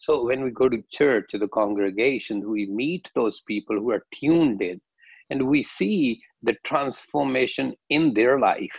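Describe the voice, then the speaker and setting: A man speaks at a fairly slow pace with ordinary pitch variation. The background is quiet and the sound is dry, with no echo. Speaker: guest. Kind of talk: interview answer. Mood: calm reflective. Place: home room. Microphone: video call.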